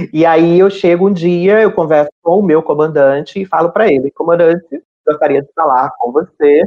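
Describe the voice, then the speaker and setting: A woman uses a normal speaking voice, fairly low in pitch, at a moderate pace with ordinary pitch variation and hardly any pauses. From Brazil, Ceará (Fortaleza). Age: 40s. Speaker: navy sergeant and LGBT rights activist. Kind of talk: interview testimony.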